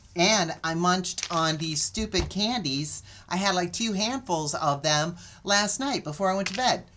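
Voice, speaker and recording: With a bright, sharp tone, a woman talks using lively intonation. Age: 70s. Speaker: minister. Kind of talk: casual talk to camera.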